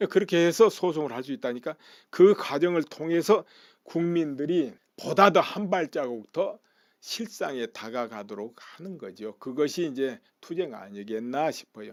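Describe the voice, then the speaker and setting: On a very clean recording with a silent background, a man with a fairly high pitch speaks at a fairly slow pace, with very wide pitch swings and big swings in loudness. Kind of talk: political commentary talk. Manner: casual, conversational.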